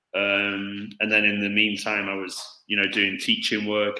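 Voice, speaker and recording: This man has a British accent and a fairly low pitch. His tone comes across bright and sharp. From Stoke-on-Trent, England. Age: 30s. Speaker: football coach. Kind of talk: interview. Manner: hesitant, many fillers.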